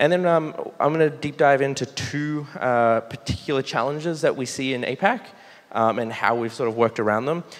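A man with an Australian accent speaks with lively intonation. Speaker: site reliability engineer. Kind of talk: conference talk. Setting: stage with audience. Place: hall. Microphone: podium.

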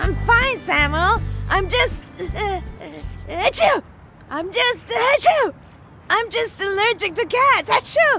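A put-on character voice talks at a fairly slow pace with long, frequent pauses. Clear music plays in the background. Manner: sneezing fits interrupting the speech.

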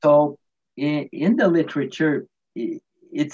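A man with a Quebec accent, very slow with lively intonation, over a quiet background. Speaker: retired physiotherapist; guest. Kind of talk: interview; interview answer. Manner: halting. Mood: warm, animated. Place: home room. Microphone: video call.

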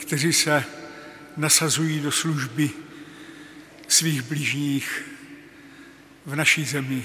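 The delivery is very slow, with fairly even intonation. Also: man. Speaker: presiding bishop. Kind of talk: liturgical address. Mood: solemn, calm. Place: church.

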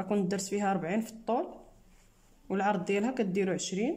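The voice has a dark, mellow tone and is somewhat breathy. It moves at a fairly quick pace with ordinary pitch variation. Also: woman. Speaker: sewing teacher. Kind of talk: tutorial. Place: workshop. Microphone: phone near.

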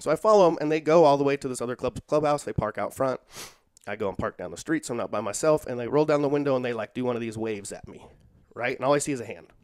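Speaking very fast with lively intonation, a man at medium pitch makes big swings in loudness against a quiet background. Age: 40s. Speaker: social worker and jiu-jitsu practitioner; podcast guest. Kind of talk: casual interview chat; interview answer, storytelling. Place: home room. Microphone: headset.

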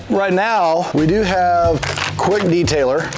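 A man speaking over clear music in the background. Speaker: car channel host. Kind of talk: casual vlog chat. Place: garage. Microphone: lapel.

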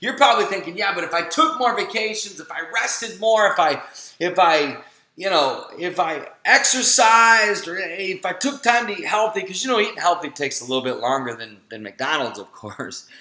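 A man with a high pitch uses a raised, projected voice at a moderate pace, his pitch swinging very widely. His loudness shifts in big swings over noticeable background noise. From Florida. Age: 40s. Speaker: health and family coach. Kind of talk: webinar sales pitch. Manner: animated.

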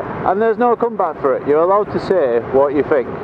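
The pace is fairly quick. Background noise is noticeable. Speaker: motorbike vlogger. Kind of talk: casual vlog chat. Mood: jokey, relaxed. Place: motorbike. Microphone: helmet.

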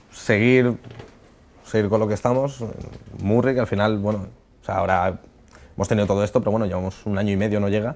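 This man's voice sits at a fairly low pitch. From Alicante, Spain; Spain. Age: 20s. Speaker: chef; interview guest. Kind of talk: casual interview. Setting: studio. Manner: halting, with many fillers. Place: studio. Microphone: lapel.

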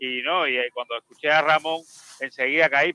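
A man speaks at a fairly high pitch. The tone is bright and sharp, and the sound is dry with no echo. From Cuba. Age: 50s. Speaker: caller. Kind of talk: casual chat. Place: home room. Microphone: studio mic.

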